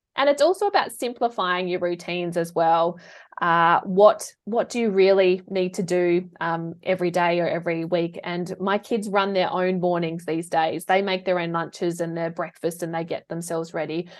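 Using an Australian accent, a woman talks at a moderate pace and a fairly low pitch, with fairly even intonation and hardly any pauses. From South Australia. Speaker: professional organiser and declutter coach. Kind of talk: casual interview chat.

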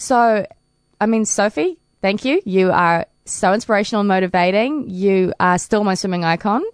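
With a New Zealand accent, a woman speaks at a medium pitch and very even loudness in a dry, close recording with no echo. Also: ordinary pitch variation, moderate pace. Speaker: paralympic swimmer. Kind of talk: interview. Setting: studio.

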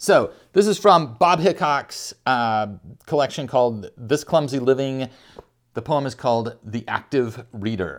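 A man speaks in an unremarkable speaking voice at medium pitch. He goes at a fairly slow pace with lively intonation. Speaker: podcast host and poet. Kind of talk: poem reading; casual chat. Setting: home couch. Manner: warm, relaxed, conversational.

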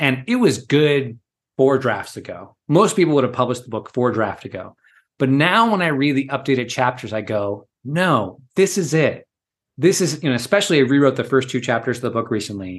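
In a normal speaking voice, a man talks at a fairly quick pace with medium pitch and lively intonation against a quiet background. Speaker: executive coach and author. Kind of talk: casual interview conversation.

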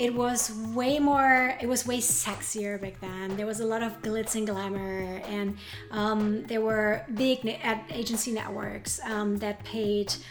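Music plays in the background as a woman speaks very slowly in a fairly high voice with monotone, flat intonation. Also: hardly any pauses. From Germany. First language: German. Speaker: advertising managing director. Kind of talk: interview. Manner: halting, many fillers.

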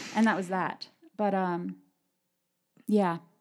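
On a very clean recording with a silent background, a woman with an American accent speaks at a fairly slow pace, medium in pitch, with fairly even intonation. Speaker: podcast host and preacher. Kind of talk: casual chat. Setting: studio.

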